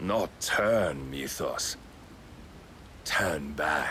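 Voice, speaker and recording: Using a put-on character voice, a man growls in a very deep, low pitch over light background noise. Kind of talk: religious sermon. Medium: video game. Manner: archaic, sermon-like, composed.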